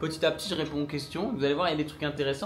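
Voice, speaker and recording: Audible room echo surrounds a man speaking in a fairly high pitch. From northern France. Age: 20s. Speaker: trail runner and content creator. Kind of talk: casual live stream Q&A. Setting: Instagram live at home. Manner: casual, lots of filler hesitations.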